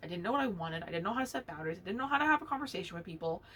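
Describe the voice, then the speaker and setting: An animated woman at medium pitch with very wide pitch swings, over noticeable background noise. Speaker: knitting podcast host. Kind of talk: casual monologue. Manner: loud when passionate.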